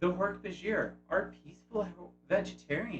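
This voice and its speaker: Speaking at a fairly slow pace, a man talks with vocal fry. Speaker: YouTube host. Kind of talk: video essay narration.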